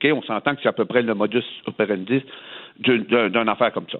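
This man talks at a fairly quick clip, his pitch rising and falling in an ordinary way. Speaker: politician. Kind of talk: radio interview.

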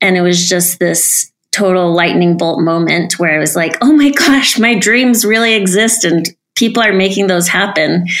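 A plain, everyday voice from a woman of medium pitch, with ordinary pitch variation, very even loudness, a moderate pace and hardly any pauses. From US, Utah (Salt Lake City). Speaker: dancer and aerialist. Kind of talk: casual interview.

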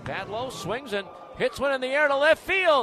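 Amid noticeable background noise, a man projects a raised voice with lively intonation. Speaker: baseball play-by-play announcer. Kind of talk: radio baseball play-by-play with recap narration. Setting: radio broadcast booth. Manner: building excitement on home run calls.

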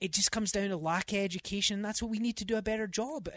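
This man speaks with a Scottish accent and a high pitch. His pace is very fast. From Scotland. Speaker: real estate agent. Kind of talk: casual radio interview. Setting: radio studio.

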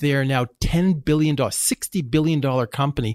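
With a Canadian accent, this man has an ordinary speaking voice at medium pitch, talking at a moderate pace in a dry, close sound with no echo. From Canada. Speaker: company CEO. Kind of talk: interview.

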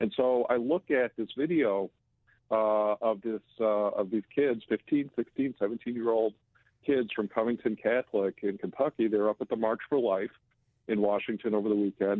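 A man with a plain, everyday voice talks at a moderate pace and medium pitch, with fairly even intonation and very even loudness. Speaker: publisher, political commentator. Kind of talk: radio interview, political commentary.

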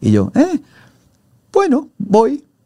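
A man speaks with a dark, mellow tone. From Argentina, Mendoza. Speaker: TV presenter and journalist. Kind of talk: interview. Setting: studio.

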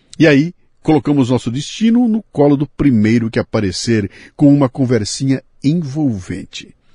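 Speaking at a moderate pace, a man has a fairly high pitch, lively intonation and a dark, mellow tone that is somewhat breathy. The sound is dry and close, with no echo. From Bauru, São Paulo state, Brazil. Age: 60s. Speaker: podcast host. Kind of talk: casual interview.

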